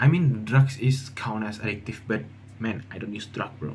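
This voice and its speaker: A man's somewhat breathy voice with a dark, mellow tone and an Indonesian accent, ordinary pitch variation, and audible room echo. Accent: Indonesian, non-native English. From Indonesia (Jambi, Sumatra). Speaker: university student vlogger. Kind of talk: casual vlog monologue. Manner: halting, many fillers and restarts.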